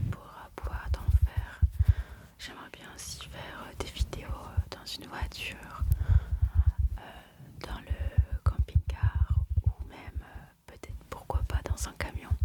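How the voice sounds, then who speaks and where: Over noticeable background noise, a woman whispers at a very slow pace with long, frequent pauses and big swings in loudness. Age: 20s. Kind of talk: ASMR self-introduction. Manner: whispered.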